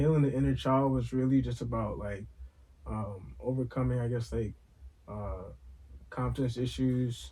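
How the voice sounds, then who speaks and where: A man with a New York accent speaks at a moderate pace, leaving long, frequent pauses. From Brooklyn, New York. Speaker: podcast co-host. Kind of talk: casual chat.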